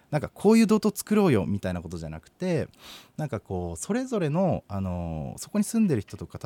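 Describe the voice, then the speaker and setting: The recording is very clean with a silent background. A man speaks at a fairly quick pace. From Hokkaido, Kitami. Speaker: nonprofit director. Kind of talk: interview. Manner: hesitant, many fillers.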